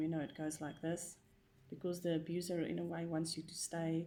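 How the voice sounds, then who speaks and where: A dark, mellow tone comes through at a fairly quick pace, spoken with a non-native accent. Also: woman. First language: not English. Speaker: vlogger sharing personal experience. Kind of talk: personal monologue vlog. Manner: hesitant, many fillers.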